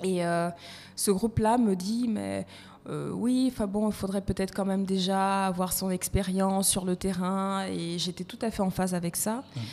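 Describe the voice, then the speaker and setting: Fairly slowly, a woman speaks in a dark, mellow tone at a medium pitch, with fairly even intonation. The recording is very clean, with a silent background. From Côte d'Ivoire, part Malagasy. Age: 30s. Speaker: HR consultant and coach. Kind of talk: podcast interview.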